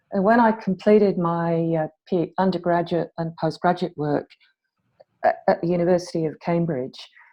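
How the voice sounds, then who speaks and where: With an English accent, a woman speaks at a moderate pace, her fairly low pitch carrying fairly even intonation. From England. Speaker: academic chemist, panelist. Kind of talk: panel discussion.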